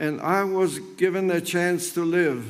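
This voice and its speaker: Audible room echo carries a man's high-pitched voice as he talks at a very slow pace with fairly even intonation. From Poland, Krakow. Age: 90s. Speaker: Holocaust survivor. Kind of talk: testimony. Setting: memorial ceremony.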